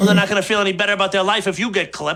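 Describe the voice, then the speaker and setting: Putting on a character voice, a man speaks very fast in a raised, projected, gruff voice at a high pitch with monotone, flat intonation. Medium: short film. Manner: gruff, profane.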